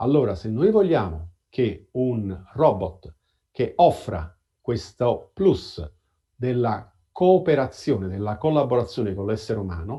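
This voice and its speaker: Very slow speech from a man at a medium pitch, somewhat breathy, with very wide pitch swings. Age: 60s. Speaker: robotics professor. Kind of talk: interview. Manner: halting, with repetitions.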